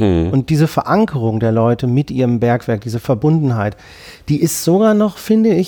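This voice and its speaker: A man's voice sits at a fairly high pitch and has a dark, mellow tone. His pitch swings very widely. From Ruhr area, Germany. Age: 40s. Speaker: media professional and photographer. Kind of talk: casual interview.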